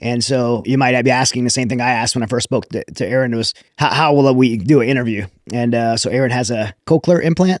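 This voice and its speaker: Speaking at a very fast pace with an American accent, a man at medium pitch shows ordinary pitch variation in a dry, close sound with no echo. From Louisiana. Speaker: podcast host. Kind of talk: interview.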